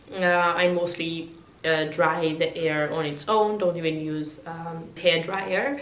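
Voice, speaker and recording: A woman with a fairly low pitch speaks at a very slow pace, and audible room echo surrounds her voice. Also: ordinary pitch variation. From Georgia (country). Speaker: beauty YouTuber. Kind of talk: product review vlog. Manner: hesitant, many fillers. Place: home room.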